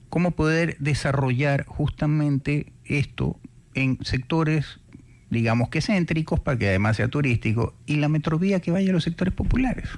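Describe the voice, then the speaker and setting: This is an ordinary speaking voice at a moderate pace. The intonation is lively and the loudness very even. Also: man, fairly high pitch for a man. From Ecuador, Guayaquil. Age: 60s. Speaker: radio host. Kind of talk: radio interview.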